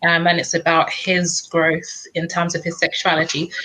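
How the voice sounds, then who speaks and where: A woman in a London accent talks at a fairly slow pace with medium pitch. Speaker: book reviewer. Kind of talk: casual chat.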